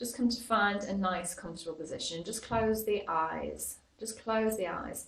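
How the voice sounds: In a room with audible echo, a woman speaks at a fairly slow pace and medium pitch, with ordinary pitch variation.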